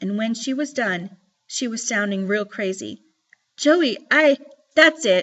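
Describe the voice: Plain reading aloud with lively intonation, against a quiet background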